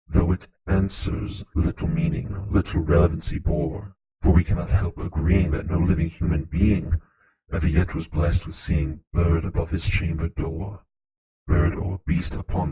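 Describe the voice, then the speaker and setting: This man is using a put-on character voice. It sits very deep and low. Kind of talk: poetry reading.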